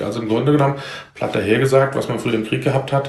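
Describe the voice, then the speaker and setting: A man with a fairly high pitch is heard. There is noticeable background noise and audible room echo. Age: 40s. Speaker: civil protection volunteer leader. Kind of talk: casual interview. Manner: halting, many filler sounds.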